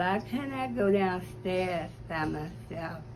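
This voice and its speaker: Music plays in the background as a woman talks amid audible room echo. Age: 80s+. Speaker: public hearing witness. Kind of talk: testimony. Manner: halting.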